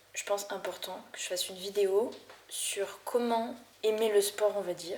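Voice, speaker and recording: A woman's voice over noticeable background noise. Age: 20s. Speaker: vlogger. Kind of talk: casual vlog talk. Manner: hesitant, with fillers.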